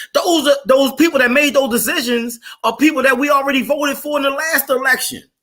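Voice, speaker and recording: Projecting his voice, a man talks very fast at an extremely high pitch, his tone animated, bright and sharp. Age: 40s. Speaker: podcast host. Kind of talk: heated debate. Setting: live stream.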